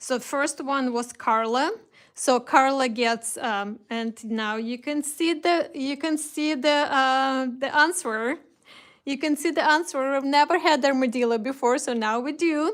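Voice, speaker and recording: A woman in a Russian accent, high-pitched and at a fairly slow pace. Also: ordinary pitch variation, very clean recording, silent background. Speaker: craft shop host. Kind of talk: live stream product reveal. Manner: hesitant, many fillers.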